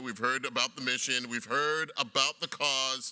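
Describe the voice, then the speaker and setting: Loud, bright, sharp male voice at a medium pitch. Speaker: TV personality and gala emcee. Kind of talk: live event hosting. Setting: gala stage with audience. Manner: fast.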